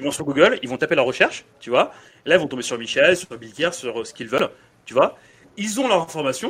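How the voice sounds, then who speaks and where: A man's fairly high voice at a fairly quick pace, very wide pitch swings and long, frequent pauses. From Senegal, raised in France from age 9. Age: 30s. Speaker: podcast host. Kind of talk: podcast interview. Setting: in guest's dry-cleaning shop.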